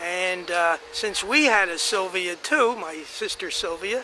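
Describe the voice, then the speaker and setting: A man with an American accent speaks in a raised, projected voice, high in pitch with ordinary pitch variation. Noticeable background noise can be heard. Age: 80s+. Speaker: family elder telling family history. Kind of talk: oral history reminiscence. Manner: halting, many fillers and restarts.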